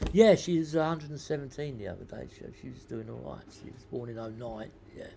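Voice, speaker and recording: A man's dark, mellow, medium-pitched voice at a very fast pace, with lively intonation, big swings in loudness and audible room echo. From South London. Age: 60s. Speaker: podcast host. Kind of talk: casual monologue. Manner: halting, many repeated words; rambling, waffles.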